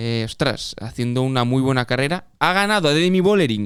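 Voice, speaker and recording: In a Catalan accent, a man talks at a moderate pace with a fairly high pitch and ordinary pitch variation, on a very clean recording with a silent background. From Catalonia. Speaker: cycling podcast host. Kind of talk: casual chat.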